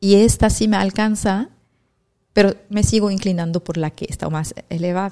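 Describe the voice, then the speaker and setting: Her dark, mellow tone sits at a medium pitch as a woman speaks at a moderate pace with fairly even intonation. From Lebanon. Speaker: real estate agent. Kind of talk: casual chat.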